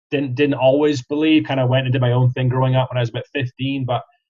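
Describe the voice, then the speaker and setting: A man with a Scottish accent speaks at a medium pitch, somewhat breathy, with monotone, flat intonation. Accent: Scottish, often mistaken for Australian. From Scotland, Kirriemuir near Dundee. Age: 30s. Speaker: franchise sales specialist. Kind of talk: podcast interview. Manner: hesitant, many fillers.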